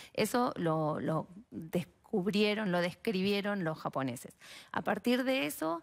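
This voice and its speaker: Over a quiet background, a woman in a Rioplatense accent speaks at a very slow pace with lively intonation. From Argentina, Mar del Plata; Argentina. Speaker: biologist and researcher; guest. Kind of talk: TV interview. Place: studio. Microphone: headset.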